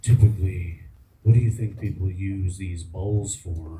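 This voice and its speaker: Putting on a character voice, a man speaks soft and raspy at a very deep, low pitch, with fairly even intonation and a moderate pace. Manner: soft, non-alarming.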